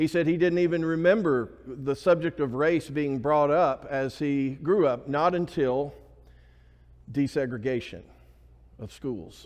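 Speaking at a fairly slow pace, a man with an Alabama accent has a fairly high pitch. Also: ordinary pitch variation. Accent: US Southern (Alabama). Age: 50s. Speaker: pastor. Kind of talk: sermon. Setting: church.

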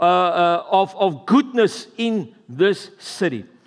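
A man with a South African accent. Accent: Afrikaans-accented English. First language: Afrikaans. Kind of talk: sermon. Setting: church service with congregation.

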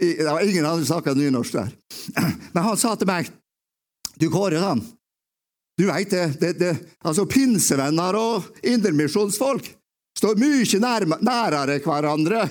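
A man talks with a high pitch and lively intonation. His speech has long, frequent pauses. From Romsdal, western Norway (Åndalsnes). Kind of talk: testimony talk in church. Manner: halting, repeating words.

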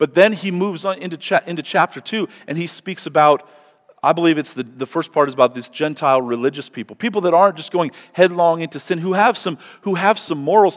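Rushing at a very fast pace, a man with a high pitch shows ordinary pitch variation and big swings in loudness. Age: 40s. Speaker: pastor. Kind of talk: sermon. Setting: church.

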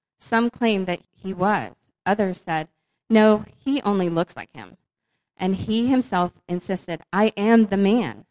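In an unremarkable speaking voice, a woman with an American accent speaks at medium pitch and a fairly slow pace, with ordinary pitch variation, big swings in loudness, and a dry, close sound with no echo. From northern Virginia. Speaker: church member. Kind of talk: casual chat.

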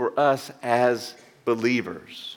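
The speaker is a man with a Southern US accent. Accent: Southern US (Georgia). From US South, Georgia. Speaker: pastor. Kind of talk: sermon. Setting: church.

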